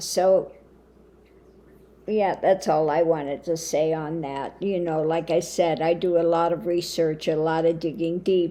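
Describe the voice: A woman with a croaky voice and a dark, mellow tone speaks low for a woman, at a fairly slow pace with fairly even intonation.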